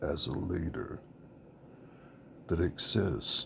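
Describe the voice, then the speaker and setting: With a Southern US accent and vocal fry, a man speaks at a very slow pace. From US South, rural. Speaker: political candidate. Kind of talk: campaign speech. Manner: halting, with fillers.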